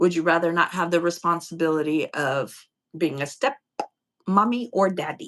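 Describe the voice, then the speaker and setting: A woman speaks in an ordinary speaking voice at a moderate pace. Her pitch is fairly low, with ordinary variation. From upstate New York. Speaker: YouTube live streamer. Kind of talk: casual live stream chat. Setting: live stream with remote co-host.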